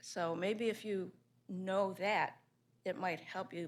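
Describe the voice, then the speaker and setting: A woman with an American accent speaks at a fairly slow pace in a normal speaking voice, her medium pitch carried by fairly even intonation. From Baltimore, Maryland. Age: 60s. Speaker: planning commissioner. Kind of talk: public meeting statement.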